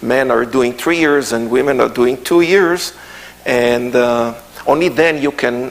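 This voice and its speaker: Speaking in an Israeli accent at a fairly slow pace, a man keeps a medium pitch, ordinary pitch variation and very even loudness amid noticeable background noise and audible room echo. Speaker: tour guide and Bible teacher. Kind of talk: lecture. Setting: church. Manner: halting, many fillers.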